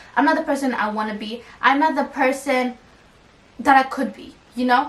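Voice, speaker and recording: Despite noticeable background noise, this woman's high pitch comes through. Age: 20s. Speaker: lifestyle vlogger. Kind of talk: casual vlog monologue. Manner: fast; stutters when fast.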